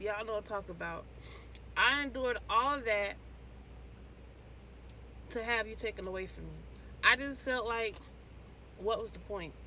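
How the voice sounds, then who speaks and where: Background noise is noticeable here. Through it, a woman talks. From Florida, USA. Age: 20s. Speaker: certified nursing assistant. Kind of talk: casual talk to camera.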